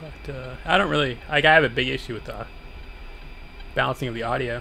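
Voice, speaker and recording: A man talks fairly quickly, with noticeable background noise around him. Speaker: gaming streamer. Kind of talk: live gameplay commentary. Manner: soft-spoken.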